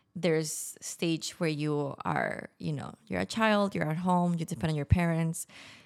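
A woman talks in a Spanish accent at a fairly slow pace. Her pitch is fairly low and varies in an ordinary way. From Mexico (Tijuana). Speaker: podcast guest, former expat. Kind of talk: casual interview.

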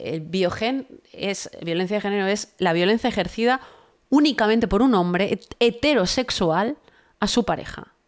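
Speaking at a fairly slow pace, a woman uses a medium pitch with ordinary variation and an animated tone. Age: 40s. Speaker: political commentator. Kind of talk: interview.

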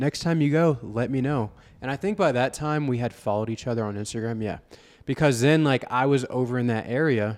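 In an ordinary speaking voice, a man with an American accent talks at a fairly quick pace, his medium pitch showing ordinary variation. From Florida, Vero Beach. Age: 20s. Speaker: real estate agent and fitness coach. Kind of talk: casual chat. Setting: coffee shop.

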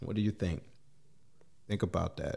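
A man's somewhat breathy voice carries fairly even intonation. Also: very clean recording, silent background. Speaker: podcast host. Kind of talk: casual interview.

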